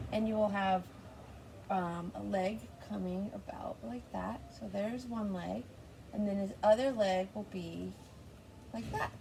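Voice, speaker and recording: With noticeable background noise behind her, a woman speaks at a fairly slow pace, leaving long, frequent pauses. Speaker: art teacher. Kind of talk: tutorial.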